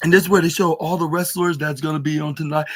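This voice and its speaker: The speaker is a man. His pitch is high. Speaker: wrestling podcast host. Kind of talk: casual review monologue. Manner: halting, many fillers.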